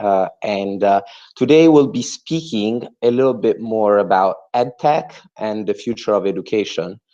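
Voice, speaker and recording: The speaker has an Italian accent and a dark, mellow tone. The pace is moderate and the background quiet. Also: man. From Italy. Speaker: entrepreneur and MBA student. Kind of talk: webinar presentation. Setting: video call webinar. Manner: hesitant, with many fillers.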